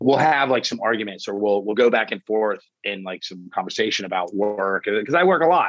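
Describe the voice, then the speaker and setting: With an unremarkable speaking voice, a man talks at a fairly quick pace with hardly any pauses, lively intonation and a fairly low pitch. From Florida. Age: 40s. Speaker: chef. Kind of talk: casual chat.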